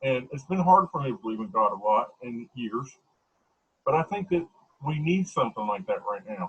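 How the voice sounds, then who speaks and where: With very wide swings in pitch, a man talks at a moderate speed in a somewhat breathy voice that sits fairly high. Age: 40s. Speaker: interviewer. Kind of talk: casual chat.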